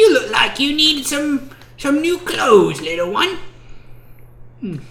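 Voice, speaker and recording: A high, put-on character voice with very wide pitch swings speaks at a fairly slow pace over clear background noise. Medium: actual play. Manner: sweet yet mercenary, haggling.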